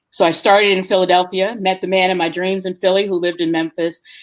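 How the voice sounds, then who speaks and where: This woman has an ordinary speaking voice at a medium pitch, with an American accent. She talks at a fairly quick pace. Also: very clean recording, silent background. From New York City, the Bronx. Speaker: tour company owner. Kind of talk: interview. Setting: live stream interview.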